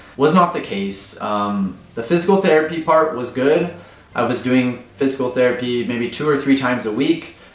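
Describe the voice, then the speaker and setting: With audible room echo, a man with an American accent talks at a moderate pace with ordinary pitch variation. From United States. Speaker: expat vlogger. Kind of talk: personal vlog talk to camera. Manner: emotional. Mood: earnest, grateful, emotional. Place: home room.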